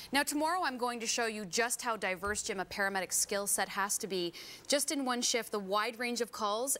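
Bright and sharp in tone, a woman speaks at a fairly quick pace with ordinary pitch variation. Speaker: news reporter. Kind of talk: news report. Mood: enthusiastic. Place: studio. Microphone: lapel.

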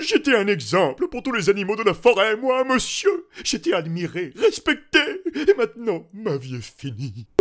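This is a cartoonish character voice. It moves at a moderate pace. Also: man, high pitch for a man. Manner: sulky, indignant.

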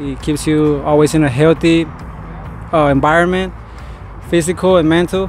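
A man's fairly high, monotone voice with a Spanish accent, fairly quick and flat, dry with no echo, over music in the background. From Colombia. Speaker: BMX rider. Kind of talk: casual interview. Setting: outdoors at bike park. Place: street. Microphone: handheld.

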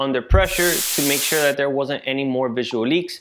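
A man speaks at a moderate pace with ordinary pitch variation. There is light background noise. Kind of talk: casual vlog chat. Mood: frustrated storytelling. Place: garage. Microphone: camera far.

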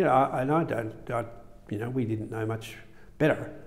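Talking at a fairly quick pace, a man with an Australian accent has a dark, mellow tone. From Melbourne, Australia. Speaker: surgeon. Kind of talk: interview. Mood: calm reminiscing. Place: studio. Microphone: lapel.

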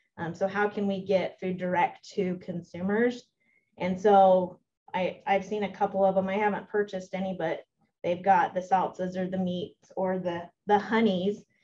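A woman's medium-pitched, somewhat breathy voice with an American accent, dark and mellow in tone, monotone and flat, at a moderate pace. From Utah, Millard County. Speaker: extension educator. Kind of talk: presentation.

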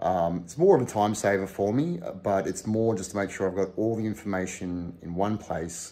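The voice has a dark, mellow tone, with ordinary pitch variation at a moderate pace. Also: man, fairly low pitch for a man.

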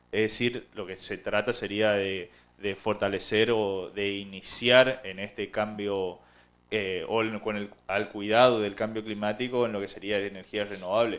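At a fairly slow pace, a man speaks in a fairly low, monotone voice with flat intonation. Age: 30s. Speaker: local councillor; town councillor. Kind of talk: TV interview. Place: studio. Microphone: handheld.

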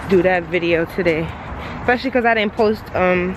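A woman is speaking. There is noticeable background noise. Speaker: vlogger. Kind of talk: casual vlog chat. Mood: relaxed, pleased. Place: car. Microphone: phone near.

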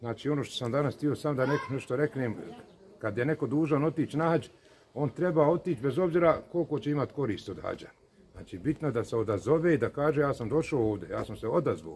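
Light background noise accompanies a man talking at a very fast pace with ordinary pitch variation. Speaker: speaker. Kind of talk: religious talk to camera. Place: street. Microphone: phone near.

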